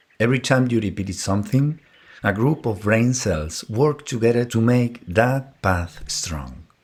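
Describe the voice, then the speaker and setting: This man talks at a very slow pace in a fairly low voice, his tone calm and his intonation lively. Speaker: psychiatrist and psychotherapist. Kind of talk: educational monologue.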